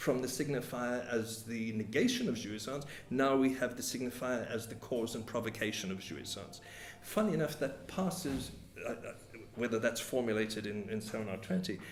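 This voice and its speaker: The speech goes at a moderate pace, with audible room echo and noticeable background noise. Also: man. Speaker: psychoanalyst lecturer. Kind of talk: lecture. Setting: meeting hall with audience. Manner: halting, many repetitions.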